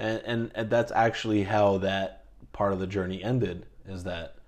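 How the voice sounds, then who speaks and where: A man's fairly low pitch, fairly even intonation and fairly slow pace. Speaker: podcast guest talking about therapy. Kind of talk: casual interview. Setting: recorded at home. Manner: halting, many fillers.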